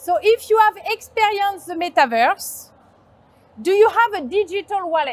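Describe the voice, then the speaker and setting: A woman's extremely high voice in a strong French accent, lively in intonation, at a moderate pace, with a dry, close sound and no echo. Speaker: agency founder, conference speaker. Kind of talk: conference talk. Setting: stage with audience.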